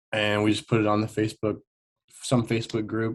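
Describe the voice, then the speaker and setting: This man has an American accent. His pitch sits fairly low. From Nebraska. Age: 20s. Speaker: country singer. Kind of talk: interview. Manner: casual, halting with fillers.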